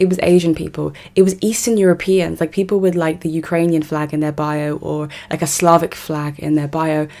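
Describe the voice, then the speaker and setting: A woman with an English accent, a very deep, low pitch, fairly even intonation and a fairly quick pace. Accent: English accent, very obvious. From South West London, England. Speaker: political commentator. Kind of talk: monologue vlog commentary.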